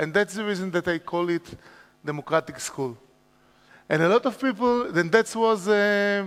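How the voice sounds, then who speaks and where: A man with an Israeli accent speaks at a high pitch with ordinary pitch variation and a moderate pace. Long, frequent pauses break up his speech, and the sound is dry and close with no echo. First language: Hebrew. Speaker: educator, school founder. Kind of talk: conference talk. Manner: halting.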